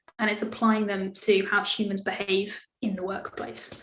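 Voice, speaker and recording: A woman's voice comes through somewhat breathy. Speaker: service design speaker. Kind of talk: webinar talk.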